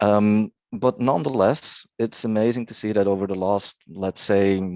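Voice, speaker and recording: Recorded dry and close with no echo, a man with a fairly low pitch speaks in a non-native accent. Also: fairly even intonation, moderate pace. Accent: non-native English, trouble with th sounds. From Belgium, Flemish-speaking part. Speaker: speech technology expert, panelist. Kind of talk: webinar panel discussion. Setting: online webinar.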